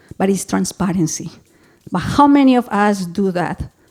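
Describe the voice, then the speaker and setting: A woman's medium-pitched voice, dark and mellow in tone, at a moderate pace in a Colombian accent. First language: Spanish. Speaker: public health executive director. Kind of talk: conference presentation. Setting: symposium with audience. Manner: animated.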